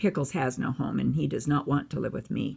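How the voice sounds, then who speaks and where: In a raspy, put-on character voice, the speaker moves at a fairly quick pace with a low-to-middle pitch. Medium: read story. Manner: gentle, caring.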